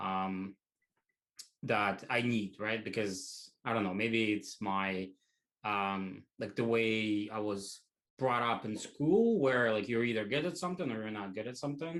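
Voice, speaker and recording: Speaking at a medium pitch, a man keeps a fairly slow pace. His intonation is lively. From Russia, small town. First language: Russian. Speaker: tech educator. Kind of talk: interview. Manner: hesitant, many fillers.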